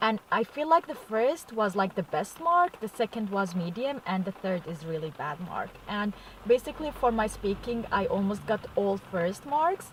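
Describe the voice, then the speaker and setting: Against noticeable background noise, a woman with a non-native accent talks at a moderate pace, her pitch swinging very widely and hardly any pauses between words. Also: medium pitch for a woman. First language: not English. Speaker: vlogger. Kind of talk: casual vlog. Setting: in a car. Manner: casual, hesitant with fillers.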